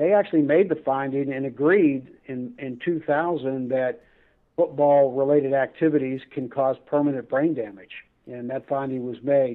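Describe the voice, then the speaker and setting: A man's plain, everyday voice, fairly high-pitched, at a moderate pace with fairly even intonation. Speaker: attorney. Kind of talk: casual interview. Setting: phone call.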